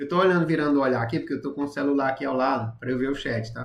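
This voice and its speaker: A man speaks at medium pitch in a somewhat breathy voice. His pace is very fast. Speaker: math and physics teacher. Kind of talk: live-streamed tutorial. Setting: live stream.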